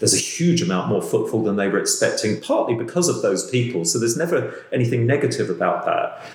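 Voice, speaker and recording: A man talks at a very fast pace with hardly any pauses and very even loudness. Noticeable background noise sits behind him. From London. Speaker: podcast host. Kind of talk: interview conversation. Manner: halting.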